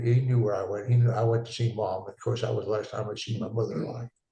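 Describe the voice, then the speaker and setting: Talking at a very fast pace, a man with a medium pitch sounds dark, mellow and somewhat breathy, his intonation fairly even. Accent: American. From eastern Washington State, US. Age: 80s+. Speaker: war veteran. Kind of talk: interview. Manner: halting.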